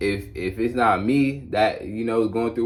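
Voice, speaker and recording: In a plain, everyday voice, a man speaks at a medium pitch with fairly even intonation. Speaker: YouTuber sharing spiritual testimony. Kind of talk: testimony monologue. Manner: casual, conversational.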